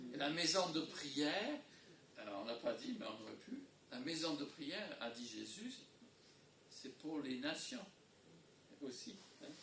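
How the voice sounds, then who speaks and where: Very slowly, with long, frequent pauses, a man speaks at a fairly high pitch that swings very widely, with audible room echo and noticeable background noise. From English-speaking country. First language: English (speaking French). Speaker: pastor. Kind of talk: sermon. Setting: church. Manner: halting.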